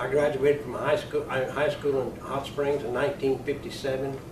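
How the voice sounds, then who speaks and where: A man with a fairly high pitch talks at a moderate pace, with noticeable background noise and audible room echo. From New Mexico, Caballo. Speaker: panelist, longtime local resident. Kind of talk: panel discussion.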